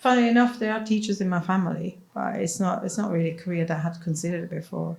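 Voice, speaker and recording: Speaking at a fairly quick pace, a woman with a fairly low pitch has a dark, mellow tone that is somewhat breathy. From Switzerland. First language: Swiss German. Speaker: head teacher. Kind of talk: interview.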